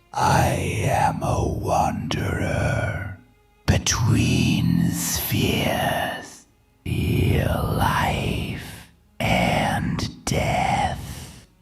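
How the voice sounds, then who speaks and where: Faint music plays behind a raspy, very deep, low put-on character voice delivered at a very slow pace. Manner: evil, menacing.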